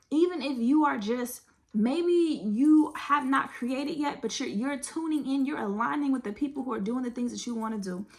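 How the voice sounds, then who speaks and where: With an animated tone and hardly any pauses, a woman speaks at a high pitch and a moderate pace, with ordinary pitch variation. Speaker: tarot card reader. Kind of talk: tarot reading.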